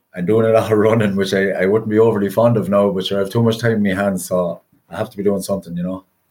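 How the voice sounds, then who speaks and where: Very fast and monotone with flat intonation, a man talks at a fairly low pitch. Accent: Irish Midlands. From Ireland, County Westmeath. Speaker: retired inter-county hurler. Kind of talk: casual interview. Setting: remote podcast recording.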